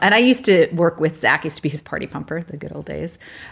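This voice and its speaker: On a very clean recording with a silent background, a woman with a Canadian accent talks at a very fast pace in a fairly low pitch with vocal fry. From Canada. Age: 40s. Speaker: podcast co-host, online boutique owner. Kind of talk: casual chat.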